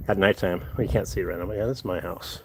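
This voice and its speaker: Noticeable background noise sits under the recording. The speaker is a man. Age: 60s. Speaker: livestreamer. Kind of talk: casual livestream chat. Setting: live stream, outdoors then walking back into house.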